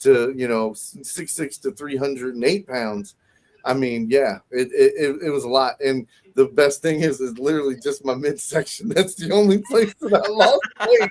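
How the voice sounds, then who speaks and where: Here a man has a normal speaking voice with a fairly high pitch. His pace is moderate. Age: 30s. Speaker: podcast guest, warehouse worker. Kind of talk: casual chat.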